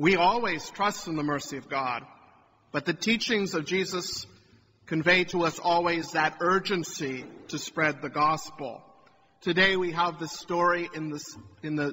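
Over light background noise, a man talks at a high pitch with ordinary pitch variation. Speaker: priest. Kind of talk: sermon. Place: church.

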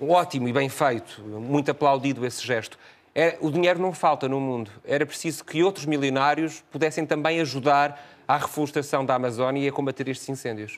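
A man's fairly high voice, an unremarkable speaking voice, at a fairly quick pace with fairly even intonation. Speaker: TV interviewer. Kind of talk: interview.

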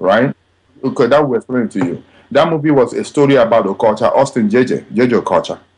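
A man speaks at a very fast pace in a Nigerian accent. His pitch is medium, with ordinary variation. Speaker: film director. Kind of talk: interview answer.

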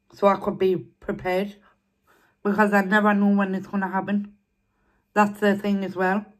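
A woman talks at a moderate pace in a monotone, flat intonation against a quiet background. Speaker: eating vlogger. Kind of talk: casual vlog chat. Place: home room. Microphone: phone near.

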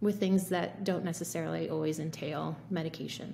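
A woman speaks with vocal fry. There is light background noise. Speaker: physician. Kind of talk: casual chat. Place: home room. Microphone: earbuds.

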